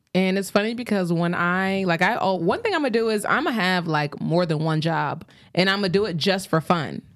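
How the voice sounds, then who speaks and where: On a very clean recording with a silent background, a woman speaks at a moderate pace. Her pitch is medium, with ordinary variation. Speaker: podcast host. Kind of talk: casual chat. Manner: animated.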